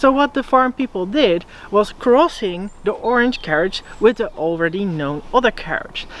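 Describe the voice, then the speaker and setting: A woman with a fairly high pitch talks at a moderate pace with hardly any pauses. Her pitch swings very widely, and the sound is dry with no echo. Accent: Dutch. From Netherlands. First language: Dutch. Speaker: educational YouTuber. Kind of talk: educational video presentation. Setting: outdoors. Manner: casual, laughing. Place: forest.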